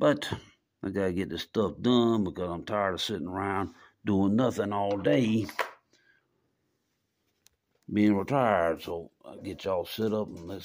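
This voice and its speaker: A man speaks at a moderate pace in a fairly low pitch with ordinary pitch variation. He leaves long, frequent pauses, and his loudness swings widely. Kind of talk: casual tutorial. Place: garage. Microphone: phone near.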